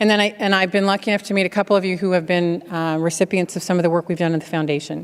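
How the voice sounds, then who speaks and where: A woman's fairly low voice at a very fast pace. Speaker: keynote speaker, healthcare technology executive. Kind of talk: keynote speech with Q&A.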